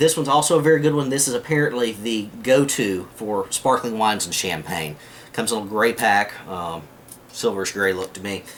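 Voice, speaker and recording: A medium-pitched man with a Southern US accent, lively intonation and a fairly quick pace. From US South. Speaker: prepping video maker. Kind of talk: tutorial. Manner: casual, with many fillers.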